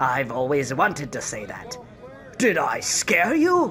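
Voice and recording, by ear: A man with a fairly bright tone puts on a character voice, moving slowly with very wide pitch swings over faint background noise. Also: medium pitch for a man.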